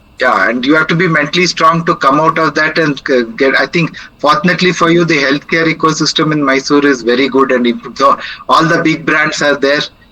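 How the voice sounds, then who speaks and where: Over noticeable background noise, a man speaks at a fairly quick pace and fairly high pitch, with ordinary pitch variation and very even loudness. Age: 60s. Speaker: senior living speaker. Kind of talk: Q&A after a talk.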